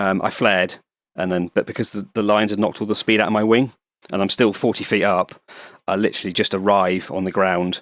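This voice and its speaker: A man with a British accent speaks at a very fast pace in monotone, flat intonation. The recording is very clean, with a silent background. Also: fairly low pitch for a man. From England. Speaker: paramotor pilot and YouTuber. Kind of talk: casual interview chat.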